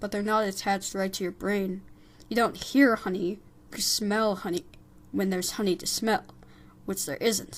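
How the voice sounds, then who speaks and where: In a put-on character voice at a medium pitch, a woman speaks with long, frequent pauses. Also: moderate pace. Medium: read story.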